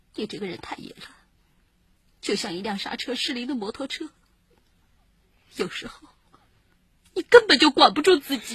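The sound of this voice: Doing a put-on character voice, a woman speaks at a fairly high pitch with a husky, rough edge, big pitch swings and long, frequent pauses. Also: moderate pace, dry, close sound with no echo.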